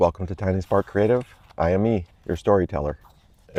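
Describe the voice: Here the delivery is plain reading aloud. The words are read straight through.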